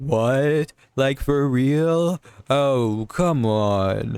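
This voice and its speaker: A man puts on a character voice. His pitch sits in the medium range. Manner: surprised, incredulous.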